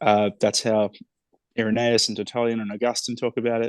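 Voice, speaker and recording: Close and dry with no echo over a quiet background, a man with an Australian accent speaks at a medium pitch. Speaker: author. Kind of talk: interview conversation.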